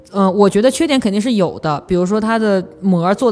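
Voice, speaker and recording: A woman rushes through her words at a very fast pace as music sounds in the background. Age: 30s. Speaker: podcast host, advertising professional. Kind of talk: casual chat.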